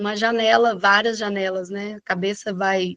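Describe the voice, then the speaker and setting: Medium-pitched woman at a moderate pace, monotone and flat, in a dry, close sound with no echo. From Brazil, interior of Minas Gerais (Lavras). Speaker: landscape agronomist and university professor. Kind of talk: interview.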